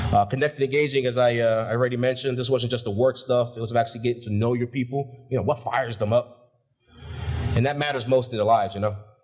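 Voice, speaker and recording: With music in the background, a man talks at a very fast pace with monotone, flat intonation. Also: medium pitch for a man. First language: not English. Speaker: graduate speaker, shipyard supervisor. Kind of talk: graduation speech. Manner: casual, with filler words.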